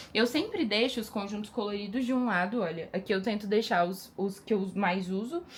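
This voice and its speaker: A woman speaks at a medium pitch with a somewhat breathy, animated tone. Her pitch varies in an ordinary way, and she hardly pauses. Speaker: lingerie brand owner. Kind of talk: casual vlog. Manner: fast.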